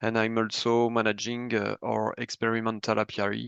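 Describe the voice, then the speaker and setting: A French accent in a dry, close recording with no echo and a quiet background. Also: man. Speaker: bee health researcher presenting products. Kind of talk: webinar presentation. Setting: online webinar, screen sharing.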